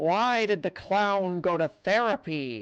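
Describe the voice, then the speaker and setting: Bellowing in a put-on character voice, the speaker holds a middle pitch. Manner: spooky, deadpan.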